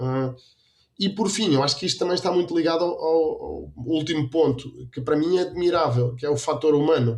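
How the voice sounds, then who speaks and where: A man speaks with a European Portuguese accent at a fairly quick pace. His pitch is fairly high, with ordinary variation. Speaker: dairy quality consultant and lecturer. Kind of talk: interview.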